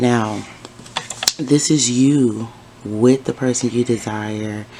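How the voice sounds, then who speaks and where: Amid noticeable background noise, a woman speaks at a very deep, low pitch. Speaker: tarot reader. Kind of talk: tarot reading. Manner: casual.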